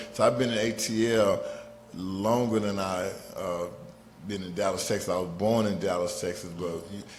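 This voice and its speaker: A fairly low-pitched man with an American accent at a moderate pace, long and frequent pauses, fairly even intonation, music in the background, and audible room echo. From Atlanta, US South. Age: 50s. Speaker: rapper. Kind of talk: podcast interview.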